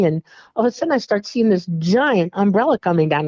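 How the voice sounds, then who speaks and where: This woman has an ordinary speaking voice. Her medium-pitched speech carries lively intonation. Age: 60s. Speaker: alien contact experiencer. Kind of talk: interview testimony.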